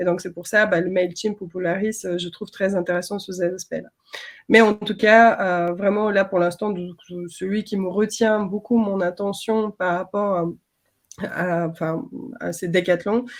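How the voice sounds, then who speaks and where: This woman speaks at a fairly slow pace. Her medium pitch moves in a fairly even line. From outside France. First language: not French (speaking French). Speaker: design system trainer. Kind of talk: webinar panel discussion.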